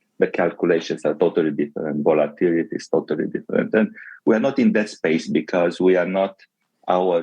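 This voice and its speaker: Speaking at a fairly quick pace, a man talks with a Romanian accent. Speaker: tech company executive. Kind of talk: interview.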